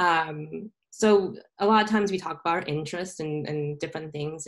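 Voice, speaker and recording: A woman has an unremarkable speaking voice with an American accent. She talks at a moderate pace with ordinary pitch variation. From Southern California. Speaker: tech entrepreneur. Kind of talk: interview.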